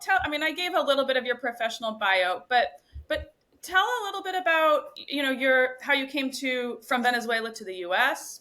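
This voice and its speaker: A woman with an American accent speaks in a raised, projected voice with a bright, sharp tone. Her pitch is high, swings very widely, and she keeps a fairly quick pace. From US Northeast, Boston. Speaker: podcast host. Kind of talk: casual chat; guest introduction.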